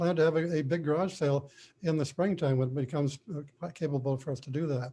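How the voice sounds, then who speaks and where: This man has a fairly high pitch, a somewhat breathy quality, and fairly even intonation. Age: 80s+. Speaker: property owner at hearing. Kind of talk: informal court hearing testimony. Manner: halting.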